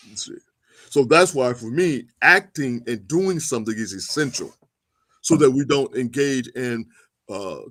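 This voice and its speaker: A man's fairly high, lively voice at a moderate pace, big swings in loudness, an unremarkable speaking voice. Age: 60s. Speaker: historian and activist. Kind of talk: interview.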